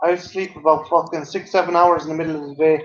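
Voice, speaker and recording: A man talks very fast in a high pitch. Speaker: live stream guest. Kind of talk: casual chat. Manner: halting, repeats words.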